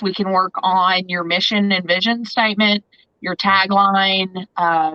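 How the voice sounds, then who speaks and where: A woman speaks with an American accent at a fairly slow pace. Her intonation stays monotone and flat. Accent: twang. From Southern Indiana. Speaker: photographer and branding consultant. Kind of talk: podcast interview.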